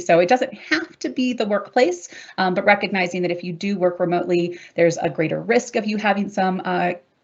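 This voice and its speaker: At a very fast pace, a woman speaks in a fairly low pitch. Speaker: workplace mental health expert, academic. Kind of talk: webinar presentation.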